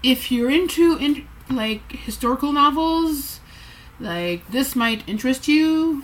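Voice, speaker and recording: A high-pitched woman speaks with a slight French Canadian accent and lively intonation. Her pace is very slow, with noticeable background noise. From Quebec, Montreal. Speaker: booktuber. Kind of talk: casual vlog. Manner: halting.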